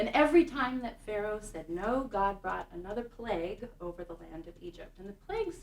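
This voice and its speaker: A woman with an ordinary speaking voice, fairly high pitch, lively intonation and a moderate pace. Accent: American. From Kansas City, Kansas. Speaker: synagogue music director. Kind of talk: talk to an audience.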